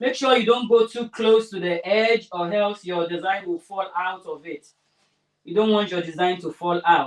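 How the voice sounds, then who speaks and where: Woman's medium-pitched voice with big swings in loudness, ordinary pitch variation and a moderate pace. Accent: Nigerian. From Nigeria. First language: Yoruba. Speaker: craft tutorial host. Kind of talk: tutorial livestream. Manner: casual, chatty.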